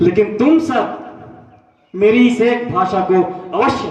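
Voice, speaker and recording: Lively in intonation, a man talks in a high pitch amid audible room echo. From India, Uttar Pradesh. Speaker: self-proclaimed political visionary. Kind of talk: address to the world. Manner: formal.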